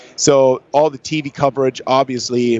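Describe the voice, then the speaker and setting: The voice carries a German accent and sounds dry and close, with no echo. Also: man. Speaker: long drive golfer. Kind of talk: interview. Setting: trade show.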